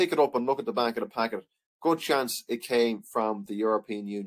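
A man with an Irish accent speaks at a fairly quick pace in a medium pitch with ordinary pitch variation, in a dry, close sound with no echo. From Ireland. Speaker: history teacher. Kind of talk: lecture. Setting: online video lesson.

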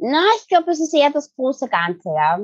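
A woman speaks with a Viennese accent at a fairly quick pace. Her pitch swings very widely, and the sound is dry and close with no echo. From Vienna, Austria. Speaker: branding and PR expert. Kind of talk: podcast interview answer. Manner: upbeat.

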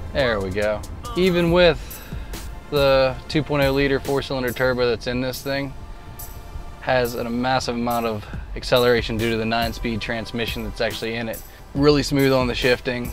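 Faint music plays behind a man talking at a moderate pace with fairly even intonation and a dry sound with no echo. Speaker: car salesperson. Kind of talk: product demo commentary. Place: car.

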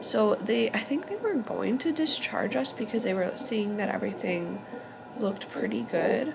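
A woman talks at a moderate pace. Noticeable background noise runs behind her. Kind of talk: casual vlog chat. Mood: happy, relieved. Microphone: phone near.

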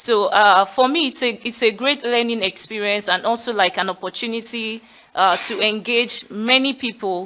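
The voice has a bright, sharp tone, moving at a moderate pace with ordinary pitch variation. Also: woman, fairly high pitch for a woman. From Nigeria. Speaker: education community leader; panelist. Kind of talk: panel discussion. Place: hall. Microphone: podium.

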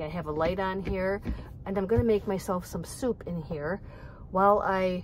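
With fairly even intonation, a woman speaks at a moderate pace in a dry sound with no echo and light background noise. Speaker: van dweller vlogger. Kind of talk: casual vlog chat. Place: car. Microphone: phone near.

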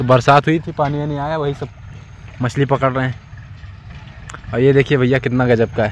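A man talks at a medium pitch and a moderate pace. His intonation is fairly even.

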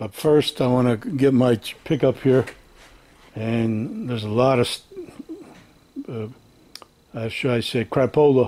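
The speech goes at a fairly slow pace with fairly even intonation and long, frequent pauses. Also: man. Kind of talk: casual vlog chat. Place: garage. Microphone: phone near.

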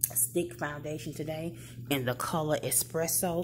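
A woman speaks at a fairly slow pace in a very deep, low pitch, with noticeable background noise behind her. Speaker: beauty vlogger. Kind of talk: casual vlog chat. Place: office. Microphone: phone near.

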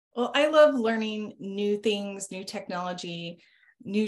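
A woman's pitch varies in an ordinary way, with a quiet background behind her. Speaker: marketing executive. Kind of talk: casual business interview. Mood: friendly, upbeat. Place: home room. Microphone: video call.

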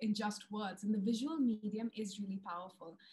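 Somewhat breathy and fairly high-pitched, a woman talks at a fairly quick pace with a dark, mellow tone and fairly even intonation. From India. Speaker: wildlife filmmaker and TV presenter. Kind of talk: webinar presentation. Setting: video call. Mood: warm, enthusiastic. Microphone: video call.

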